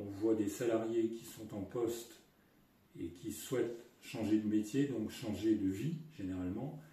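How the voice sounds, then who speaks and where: In a room with audible echo, a man with a medium-pitched, somewhat breathy voice and a dark, mellow tone talks fairly slowly with ordinary pitch variation. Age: 60s. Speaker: retired business executive. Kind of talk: testimony. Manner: hesitant with fillers.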